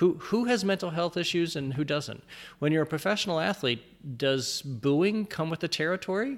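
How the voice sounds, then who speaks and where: A man with an American accent speaks in a high pitch at a moderate pace. His intonation is lively on a very clean recording with a silent background. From US Midwest, Ohio (outside Dayton). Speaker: sports writer. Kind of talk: interview conversation. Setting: in person. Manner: halting with repeated words.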